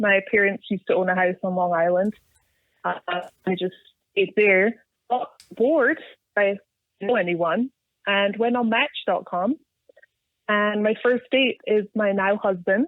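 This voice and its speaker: In a Scottish accent, a woman speaks at a medium pitch and a fairly slow pace. She takes long, frequent pauses. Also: ordinary pitch variation. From Scotland. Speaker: off-road enthusiast. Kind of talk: casual chat.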